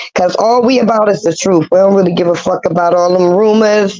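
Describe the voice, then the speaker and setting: A woman speaks fairly quickly at a medium pitch. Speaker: livestream commentary host. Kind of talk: casual livestream chat. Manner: loud; animated.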